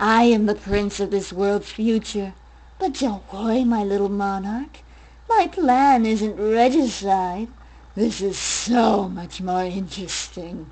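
A woman speaks at a fairly slow pace with a medium pitch. Her tone is sinister. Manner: mocking, sinister.

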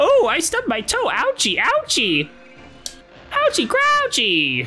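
Over clear background noise, a woman uses a put-on character voice with an extremely high pitch at a fairly slow pace. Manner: playful, exaggerated.

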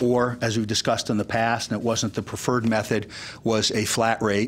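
The speaker talks at a fairly quick pace in a monotone, flat intonation. Light background noise can be heard. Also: man. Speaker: town manager. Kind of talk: public meeting presentation. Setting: council chambers. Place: meeting room. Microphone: podium.

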